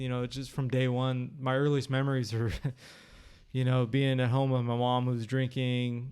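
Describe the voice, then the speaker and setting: A man's medium-pitched voice with a Californian accent, monotone and flat, at a moderate pace. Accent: Californian American English. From Sacramento, California (South Sacramento). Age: 30s. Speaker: podcast guest. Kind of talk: interview testimony. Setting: at guest's home.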